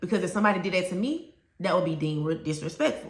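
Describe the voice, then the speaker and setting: Audible room echo surrounds a woman talking with lively intonation in a Southern US accent. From US South. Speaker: teacher and education coach. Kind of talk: educational talk to camera. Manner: conversational, direct.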